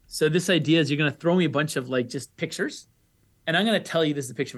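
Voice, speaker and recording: Fairly high in pitch, a man's voice is heard. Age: 30s. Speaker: economics professor. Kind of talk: interview.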